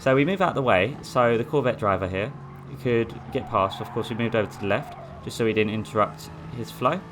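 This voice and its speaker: A man at medium pitch with an Essex accent, at a fairly quick pace, over noticeable background noise. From Essex, England. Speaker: sim racing gamer. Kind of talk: gameplay commentary. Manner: casual, hesitant.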